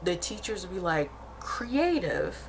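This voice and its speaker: A woman with an American accent, with audible room echo. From Arkansas, US South. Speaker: vlogger. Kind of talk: casual vlog monologue. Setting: at home. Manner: chatty, many fillers.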